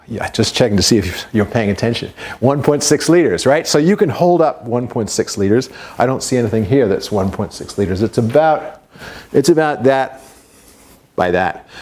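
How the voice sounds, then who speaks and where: A man at medium pitch with lively intonation and a moderate pace, over noticeable background noise. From Invercargill, New Zealand, left at seven, returned at 22. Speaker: professor. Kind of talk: lecture. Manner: conversational, addresses audience with questions.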